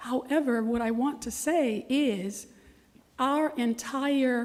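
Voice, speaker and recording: A woman speaks in a high pitch with a Florida accent. Her tone is dark and mellow, with ordinary pitch variation. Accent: Southern US (Florida). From US South, Leesburg, Florida. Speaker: resident speaking at public comment. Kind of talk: public comment at city meeting. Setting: city commission meeting. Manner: formal.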